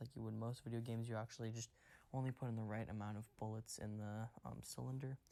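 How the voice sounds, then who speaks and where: The voice is quiet, in a very clean recording with a silent background. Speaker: gaming YouTuber. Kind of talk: casual video commentary. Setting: at home at night. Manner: quiet, hushed; hesitant, many fillers.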